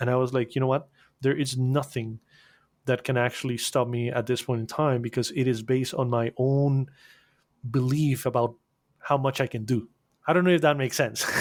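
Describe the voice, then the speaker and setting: A man speaks in a Spanish accent with fairly even intonation and long, frequent pauses. The recording is very clean, with a silent background. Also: medium pitch for a man, fairly quick pace. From Costa Rica. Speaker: animation agency owner. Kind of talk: podcast interview. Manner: halting, repeats words.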